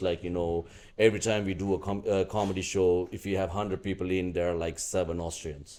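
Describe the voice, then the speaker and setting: A man with a non-native accent speaks fairly quickly in a very deep, low pitch. His tone is dark and mellow, and his intonation is fairly even. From Sri Lanka. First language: not English. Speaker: comedian. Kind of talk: podcast interview before live audience. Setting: live podcast with crowd. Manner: halting, many fillers.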